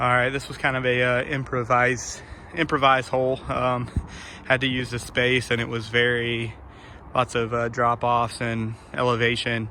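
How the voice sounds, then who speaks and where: A man speaks at a medium pitch and a moderate pace. His intonation is monotone and flat, with noticeable background noise. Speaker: disc golfer showing a new course. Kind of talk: casual walkthrough vlog. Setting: outdoors in the woods.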